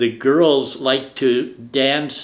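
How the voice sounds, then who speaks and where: This man has a medium pitch and fairly even intonation. He speaks with an American accent. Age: 80s+. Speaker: grandparent interviewee. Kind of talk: family oral history interview.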